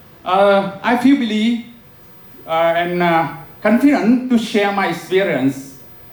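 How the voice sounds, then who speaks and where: A man with a Vietnamese accent speaks very slowly in a high voice, with audible room echo and noticeable background noise. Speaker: professor. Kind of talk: lecture. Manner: halting, many filler sounds.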